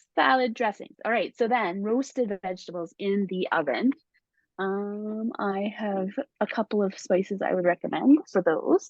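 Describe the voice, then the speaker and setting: A woman talks in an unremarkable speaking voice at a moderate pace. Her pitch is medium, with ordinary variation. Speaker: spice brand consultant. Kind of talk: casual chat.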